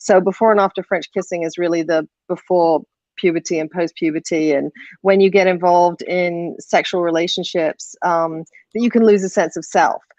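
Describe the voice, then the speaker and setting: A woman with an English accent talks at a moderate pace, her pitch fairly low and her intonation fairly even. The sound is dry and close, with no echo. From England. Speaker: filmmaker. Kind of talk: panel discussion.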